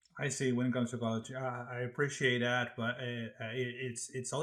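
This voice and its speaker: With a Brazilian accent, a man speaks at a medium pitch in a monotone, flat intonation. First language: Portuguese. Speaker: podcast host, college instructor. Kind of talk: interview.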